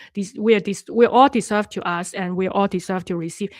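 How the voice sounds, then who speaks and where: A woman talks with a Cantonese accent. The recording is very clean, with a silent background. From Hong Kong. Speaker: life coach and online host. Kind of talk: live stream talk to viewers. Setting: live stream. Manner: halting, with many fillers and restarts.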